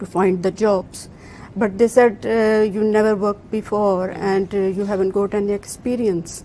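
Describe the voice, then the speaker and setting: This is a woman's voice at medium pitch. Her tone is dark and mellow. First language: not English. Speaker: employment scheme participant. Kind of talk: interview. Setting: office, live broadcast. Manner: halting, many fillers.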